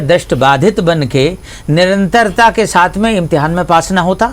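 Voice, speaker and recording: A man's high-pitched voice with very wide pitch swings, over noticeable background noise. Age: 60s. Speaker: pediatrician. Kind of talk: health education interview. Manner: formal.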